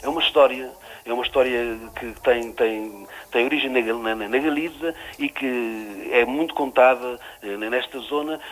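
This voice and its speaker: Through noticeable background noise, a man with a Trás-os-Montes accent speaks at a fairly slow pace and medium pitch, with ordinary pitch variation. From Trás-os-Montes, Portugal (near Chaves). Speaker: writer. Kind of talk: radio interview. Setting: radio show. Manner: halting, many repetitions and fillers.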